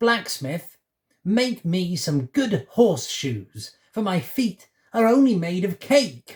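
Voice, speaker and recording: In a put-on character voice, the man talks at a high pitch and a very slow pace. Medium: read story.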